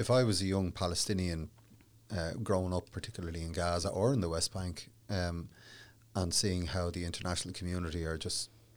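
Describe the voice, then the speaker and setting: In a Dublin accent, a man speaks with a very deep, low pitch at a moderate pace and ordinary pitch variation, in a very clean recording with a silent background. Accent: Dublin Irish. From Ireland, Dublin. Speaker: human rights solicitor. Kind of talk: interview. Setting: studio.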